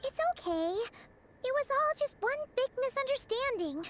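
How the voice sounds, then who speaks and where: An extremely high, squeaky put-on character voice moves along at a moderate pace. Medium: video game. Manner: excitable.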